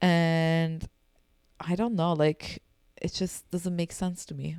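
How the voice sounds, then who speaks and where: A woman speaks very slowly in a fairly low, flat monotone, recorded dry and close with no echo. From Turkey, Istanbul and Izmir. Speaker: games user researcher, podcast guest. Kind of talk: casual chat.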